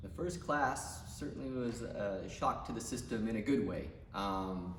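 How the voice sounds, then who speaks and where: With noticeable background noise and audible room echo, a man at a medium pitch speaks fairly slowly, his pitch swinging very widely. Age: 40s. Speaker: gym member. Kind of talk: testimony.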